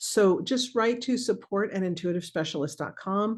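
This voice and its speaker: A woman at medium pitch with lively intonation and a moderate pace, against a quiet background. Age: 60s. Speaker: remote viewing teacher. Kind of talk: webinar Q&A. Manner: casual, halting.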